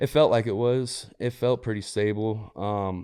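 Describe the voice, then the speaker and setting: Against a quiet background, a man speaks with a St. Louis accent. His tone is dark and mellow. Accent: Midwestern American, St. Louis. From US Midwest, St. Louis area, Missouri. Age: 30s. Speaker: entrepreneur and former prisoner. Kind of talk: interview testimony. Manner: casual, filler-heavy.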